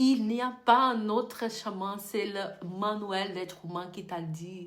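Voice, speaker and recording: With a Brazilian accent, a woman of medium pitch talks at a very slow pace with lively intonation, and audible room echo surrounds her voice. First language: Portuguese (speaking French). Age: 30s. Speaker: beauty business coach. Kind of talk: online course lesson. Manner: halting.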